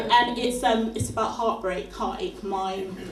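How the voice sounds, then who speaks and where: A woman with a fairly high pitch talks at a fairly slow pace, with audible room echo and noticeable background noise. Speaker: spoken word poet. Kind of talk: spoken word performance.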